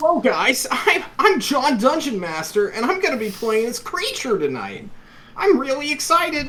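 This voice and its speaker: A put-on character voice, high-pitched with very wide pitch swings, moves at a moderate pace over light background noise. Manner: put-on creature voice, excited.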